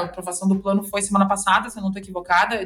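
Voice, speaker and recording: Over music in the background, a woman speaks with a Rio Grande do Sul accent. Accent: Rio Grande do Sul (gaúcho). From southern Brazil, interior of Rio Grande do Sul. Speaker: lawyer specializing in corporate restructuring. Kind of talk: podcast interview, explanatory.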